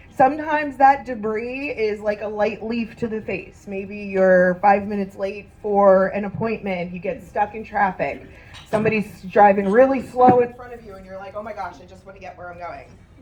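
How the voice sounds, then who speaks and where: Her voice at a medium pitch, a woman speaks in an animated tone with big swings in loudness and audible room echo. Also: ordinary pitch variation, moderate pace. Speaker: motivational speaker. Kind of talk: motivational talk. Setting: stage with audience. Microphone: microphone problems.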